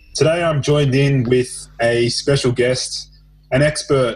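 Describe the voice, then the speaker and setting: At a fairly slow pace, a man with a medium pitch speaks in a somewhat breathy voice. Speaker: podcast host. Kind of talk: interview questions, casual.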